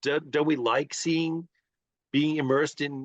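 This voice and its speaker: A man with an ordinary speaking voice and fairly high pitch talks at a moderate pace. The sound is dry and close with no echo, against a quiet background. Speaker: interviewer.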